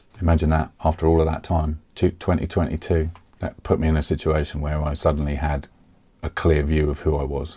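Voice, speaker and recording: A man's very deep, low voice, dark and mellow, in a monotone with flat intonation. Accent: southeast English. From Kent, England. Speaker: software developer. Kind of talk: casual talk to camera.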